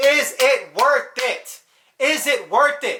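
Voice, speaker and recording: A man uses a raised, projected voice, an animated tone and lively intonation. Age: 20s. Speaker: youtuber giving life advice. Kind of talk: casual vlog monologue. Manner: fast.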